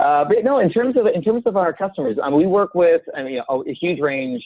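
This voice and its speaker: A man with an American accent talks at a very fast pace. His pitch swings very widely. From United States. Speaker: software company representative. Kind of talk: interview.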